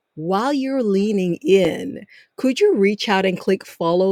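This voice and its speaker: With an African accent and a medium pitch, a woman speaks with ordinary pitch variation in a dry, close sound with no echo. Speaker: podcast host. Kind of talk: interview introduction. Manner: formal.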